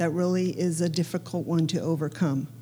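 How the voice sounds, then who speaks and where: With a dark, mellow tone and a somewhat breathy quality, a woman speaks at a fairly low pitch and a moderate pace, with ordinary pitch variation. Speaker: churchgoer giving testimony. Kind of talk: testimony. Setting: church. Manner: nervous.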